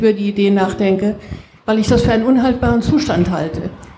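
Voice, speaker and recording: Fairly quick speech with fairly even intonation, audible room echo and noticeable background noise. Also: woman. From Frankfurt, Germany. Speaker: audience member. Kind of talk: audience question.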